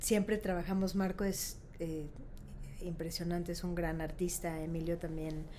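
In a room with audible echo, a woman speaks fairly slowly in a fairly low, dark, mellow voice with monotone, flat intonation. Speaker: architect and design event founder. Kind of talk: casual interview.

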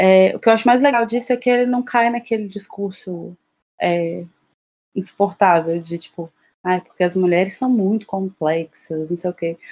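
A woman talks at a moderate pace and a medium pitch. Her pitch varies in an ordinary way, and the sound is dry and close with no echo. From Juiz de Fora, Minas Gerais, Brazil. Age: 20s. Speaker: podcast co-host, proofreader and translator. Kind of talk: casual chat.

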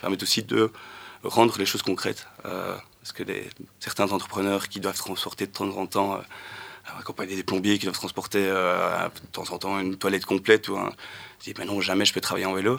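Fairly quick, monotone, flat intonation from a man. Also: fairly low pitch for a man. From Wallonia, Belgium (between Charleroi and Nivelles). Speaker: cargo bike logistics worker. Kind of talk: radio panel discussion. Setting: radio studio. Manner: quiet, hard to hear.

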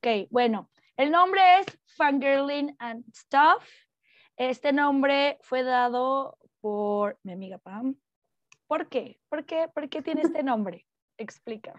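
Lively, high-pitched speech from a woman, very slow with long, frequent pauses and big swings in loudness, in a dry, close sound with no echo. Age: 30s. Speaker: teacher, podcast co-host. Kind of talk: casual chat. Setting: at home.

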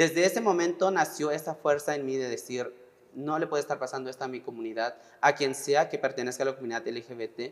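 A plain, everyday voice from a man, fairly high in pitch, at a fairly quick pace with ordinary pitch variation. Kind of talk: testimony.

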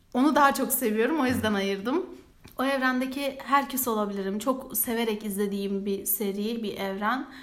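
With audible room echo around her, a woman speaks at a moderate pace in a fairly high voice with ordinary pitch variation. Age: 20s. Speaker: student podcast co-host. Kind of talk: casual chat.

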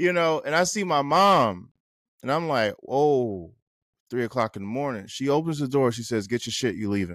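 On a very clean recording with a silent background, a man with a plain, everyday voice of medium pitch speaks at a moderate pace with lively intonation. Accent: American. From New Jersey. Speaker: author and photographer. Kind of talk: casual interview chat. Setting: studio.

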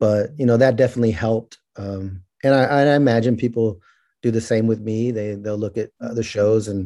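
A man with an American accent, medium pitch, a dark, mellow tone and fairly even intonation on a very clean recording with a silent background. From California Central Valley (Merced). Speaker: criminal justice reform advocate. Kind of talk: interview.

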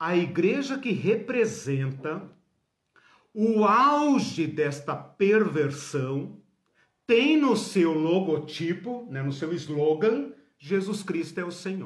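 A man's high voice at a very slow pace, with very wide pitch swings and audible room echo. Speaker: Bible teacher. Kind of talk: lecture.

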